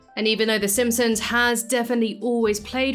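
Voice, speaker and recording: Fairly quick speech from a woman at a fairly high pitch, with audible room echo and noticeable background noise. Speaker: YouTube commentator. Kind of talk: video essay voiceover. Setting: home office. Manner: scripted, clear.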